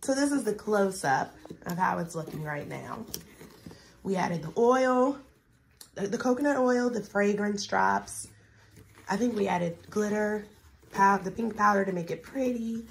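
A woman with a somewhat breathy voice speaks with long, frequent pauses. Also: medium pitch for a woman, ordinary pitch variation, moderate pace. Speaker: family YouTuber making crafts with her child. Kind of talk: casual chat. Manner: animated.

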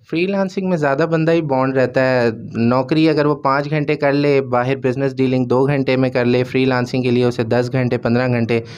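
A man speaks at a moderate pace with hardly any pauses, fairly even intonation and very even loudness. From Pakistan. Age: 20s. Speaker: young businessman; guest. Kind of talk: studio interview. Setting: studio. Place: studio. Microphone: handheld.

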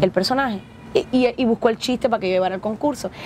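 A woman talks very fast with a Cuban accent over light background noise. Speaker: actress and comedian. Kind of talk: interview storytelling. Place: bus. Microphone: lapel.

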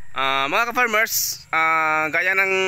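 The tone is bright and sharp, and the sound is dry with no echo. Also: man. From Philippines. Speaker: police officer and farmer vlogger; farmer vlogger. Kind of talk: casual vlog talk to camera. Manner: hesitant, many filler sounds. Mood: reflective, optimistic. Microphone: phone near.

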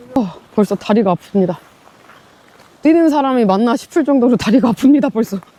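In a tired tone, a woman talks at a fairly quick pace and fairly high pitch, with lively intonation, very even loudness, and long, frequent pauses, over noticeable background noise. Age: 40s. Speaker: vlogger. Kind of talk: casual vlog talk while hiking. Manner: out of breath, tired.

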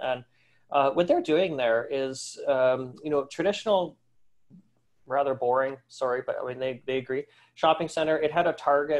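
With an ordinary speaking voice, a man talks at a moderate pace, his pitch fairly high and his intonation fairly even, over a quiet background. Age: 40s. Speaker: retail industry analyst. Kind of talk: webinar presentation. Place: home room. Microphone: webcam.

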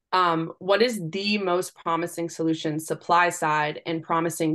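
A woman speaks in an ordinary speaking voice, fairly low in pitch, over a quiet background. Her intonation stays fairly even. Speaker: policy organization associate, Q&A moderator; panel moderator. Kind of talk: reading audience questions aloud. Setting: online webinar. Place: home room. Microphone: video call.

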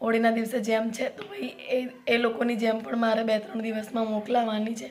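A woman at a moderate pace with a fairly high pitch and little pitch movement

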